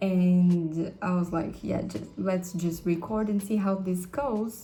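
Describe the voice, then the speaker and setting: Very slowly and in a Brazilian accent, a woman speaks at medium pitch in a dark, mellow, somewhat breathy tone with ordinary pitch variation. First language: Portuguese. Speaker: vlogger and English tutor. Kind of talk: casual vlog.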